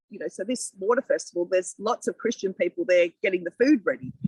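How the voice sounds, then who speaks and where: A woman with an Australian accent talks at a very fast pace, her fairly high voice full of lively intonation. The sound is dry and close with no echo. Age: 60s. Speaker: local councillor. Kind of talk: podcast interview. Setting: outdoors in a community garden.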